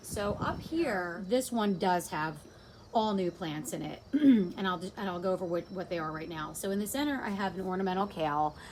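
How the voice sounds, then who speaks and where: A woman speaks at a medium pitch with a New Jersey accent. Her intonation is lively. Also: moderate pace. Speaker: home gardener. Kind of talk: casual garden walkthrough to camera.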